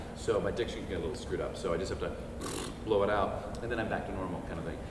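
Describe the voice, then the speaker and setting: With audible room echo and noticeable background noise, a man speaks very fast. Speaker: voice actor. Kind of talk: convention panel talk. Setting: stage with audience.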